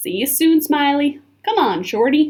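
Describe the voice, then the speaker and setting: In a put-on character voice, a woman drawls at a moderate pace with a high pitch. Her pitch swings very widely. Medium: read story. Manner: folksy drawl with Western slang.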